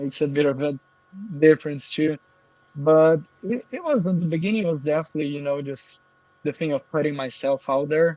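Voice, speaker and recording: A man at a fairly quick pace with a Portuguese accent, fairly high pitch and ordinary pitch variation, in a dry, close sound with no echo. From Brazil. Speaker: affiliate marketer. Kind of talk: interview.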